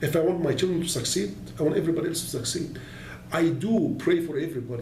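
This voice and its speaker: Over noticeable background noise and with audible room echo, a man races along at a very fast pace in a high pitch with ordinary pitch variation. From Egypt, Alexandria. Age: 60s. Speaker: entrepreneur. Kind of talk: interview.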